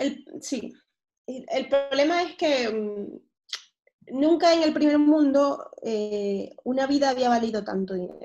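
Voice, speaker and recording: Very slowly and with lively intonation, a woman speaks in a high pitch with a dark, mellow tone. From Venezuela, Caracas. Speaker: pediatric surgeon. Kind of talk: interview.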